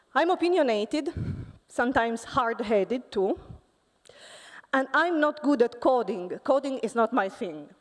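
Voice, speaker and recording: Here a woman talks with an Italian accent at a high pitch. She keeps a moderate pace, with long, frequent pauses. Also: lively intonation. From Italy. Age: 40s. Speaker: physics professor. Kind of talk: conference talk. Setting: stage with audience.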